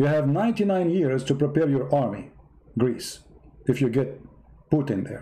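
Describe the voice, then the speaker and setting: In an Arabic accent, a man with a fairly high pitch and a dark, mellow, somewhat breathy tone speaks fairly slowly with lively intonation and long, frequent pauses. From Middle East. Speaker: online political and religious commentator. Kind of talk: live-stream commentary. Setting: live stream. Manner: sarcastic.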